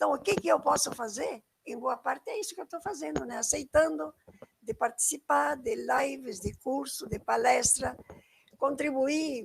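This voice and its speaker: Very wide pitch swings mark a woman's speech at a fairly slow pace. The sound is dry and close, with no echo. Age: 80s+. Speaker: environmental educator. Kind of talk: online lecture. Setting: live stream.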